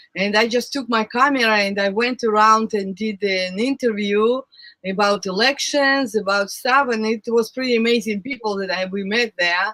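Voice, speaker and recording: Speech moves at a moderate speed. A non-native accent is heard. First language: not English. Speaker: recording artist and former show host. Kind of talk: casual chat.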